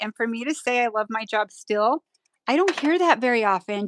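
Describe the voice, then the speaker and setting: Here is a plain, everyday voice from a woman with a fairly high pitch and a moderate pace. The sound is dry and close, with no echo. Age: 50s. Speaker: nail artist and educator. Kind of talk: live stream tutorial chat.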